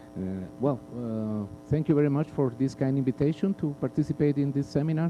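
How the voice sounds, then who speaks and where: The speaker has a Spanish accent. The tone is dark and mellow. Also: man, fairly high pitch for a man, ordinary pitch variation, fairly quick pace. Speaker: panel speaker. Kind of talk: panel talk. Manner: halting, hesitant.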